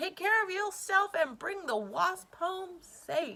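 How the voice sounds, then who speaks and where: Loud and squeaky, a woman puts on a character voice at an extremely high pitch. She goes at a fairly slow pace. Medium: read story. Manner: loud, blustery.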